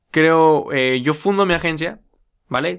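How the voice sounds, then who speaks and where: With a Mexican accent, the man says his lines. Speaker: podcast host, young entrepreneur. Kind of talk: casual monologue.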